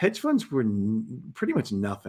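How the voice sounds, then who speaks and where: A man speaks at a moderate pace in a normal speaking voice with medium pitch. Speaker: former hedge fund manager. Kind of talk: interview. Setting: livestream.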